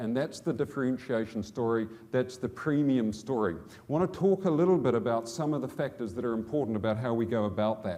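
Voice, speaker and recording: A man's dark, mellow, medium-pitched voice with a New Zealand accent, fairly quick with hardly any pauses and lively intonation. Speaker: business executive. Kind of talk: conference speech. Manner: halting.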